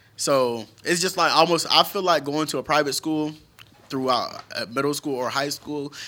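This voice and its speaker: A man with an American accent has a normal speaking voice, talking at a moderate pace in a fairly high pitch with fairly even intonation. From Naples, Florida. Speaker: podcast co-host. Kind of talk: casual chat.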